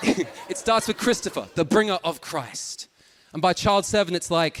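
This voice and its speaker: A man with a high-pitched voice talks at a moderate pace, his pitch varying in an ordinary way. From Australia. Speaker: stand-up comedian. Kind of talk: stand-up. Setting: stage with audience.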